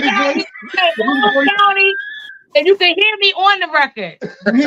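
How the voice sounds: A woman's raised, projected voice at an extremely high pitch, with very wide pitch swings and a fairly slow pace.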